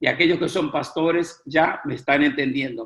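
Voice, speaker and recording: A man with an unremarkable speaking voice talks with fairly even intonation. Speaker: preaching instructor. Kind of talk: lecture.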